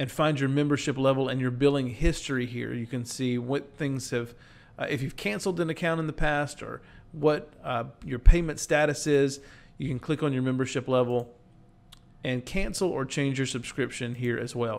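A man talks at a moderate pace, his intonation fairly even. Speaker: presenter. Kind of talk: tutorial. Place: home room. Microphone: webcam.

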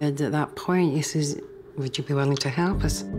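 A woman with a strong Scottish accent, clear music in the background. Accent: thick Scottish. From Scotland. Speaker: private investigator in training, interviewee. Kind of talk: interview answer. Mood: serious, reflective storytelling. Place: home room.

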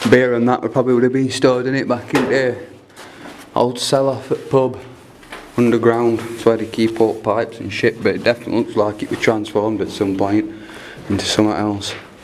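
A man talks at a fairly quick pace with monotone, flat intonation. There is light background noise. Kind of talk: casual vlog commentary. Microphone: phone near.

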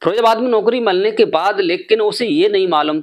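The voice moves through very wide pitch swings. The background is quiet. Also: man. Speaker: storyteller vlogger. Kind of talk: storytelling narration. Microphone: lapel.

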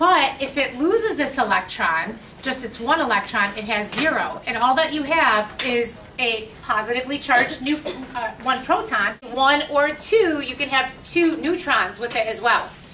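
With light background noise, a woman speaks in a raised, projected voice at a moderate pace. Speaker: chemistry teacher. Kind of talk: lecture. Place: classroom. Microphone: camera far.

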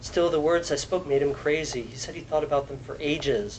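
A man speaks at a moderate pace with a fairly high pitch and ordinary pitch variation. Background noise is noticeable throughout. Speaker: translator. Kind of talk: poetry reading.

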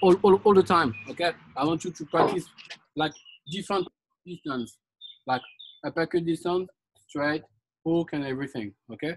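Light background noise sits under the recording. A man talks at a moderate pace. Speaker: fitness instructor. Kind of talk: live group boxing class, barked drill commands and coaching cues. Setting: live online group workout class. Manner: loud, clipped, insistent, repeating commands and 'okay' constantly. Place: garden. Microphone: camera far.

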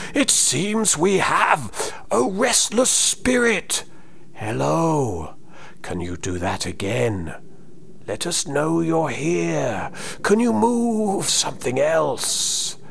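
Over clear background noise, a man uses a put-on character voice at a fairly high pitch and a very slow pace. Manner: eager, expectant.

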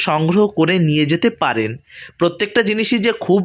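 Here a man talks. His pitch shows ordinary variation. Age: 30s. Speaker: travel vlogger. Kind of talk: vlog narration.

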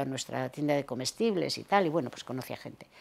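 Her pitch is very deep and low. The woman talks at a fairly quick pace. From Cantabria, Torrelavega; Cantabria. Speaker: retired teacher. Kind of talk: oral history interview; interview answer. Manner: hesitant. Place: home room. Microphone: lapel.

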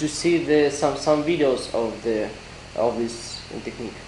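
A man at a very slow pace, with audible room echo and light background noise. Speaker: interviewer. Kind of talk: interview. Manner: halting. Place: hall.

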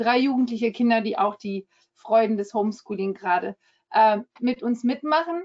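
A woman's fairly high voice at a moderate pace over a quiet background. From France. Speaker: member of the European Parliament; politician presenting herself. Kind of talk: webinar presentation. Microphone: webcam.

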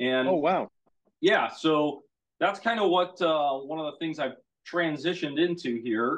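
A man with an American accent speaks in a plain, everyday voice. His pitch is fairly high and his pace fairly slow. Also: ordinary pitch variation. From US Midwest. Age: 30s. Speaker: motorcycle dealer. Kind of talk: casual chat.

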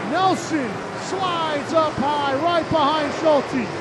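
Loud background noise sits under speech delivered at a very slow pace. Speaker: race announcer. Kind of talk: live race commentary, play-by-play of dirt track modified feature. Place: stadium.

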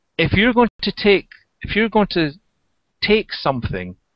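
A man speaks at a moderate pace over a quiet background. The sound is dry, with no echo. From England. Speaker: therapist. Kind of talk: presentation and Q&A. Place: home room. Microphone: headset.

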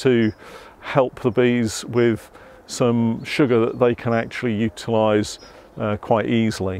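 A man talks at a fairly slow pace in a monotone, flat intonation, with dry sound and no echo. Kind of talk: tutorial. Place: garden.

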